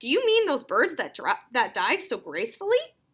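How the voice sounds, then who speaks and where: A loud, put-on character voice. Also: woman, extremely high pitch for a woman, moderate pace. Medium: read story. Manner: loud, hearty.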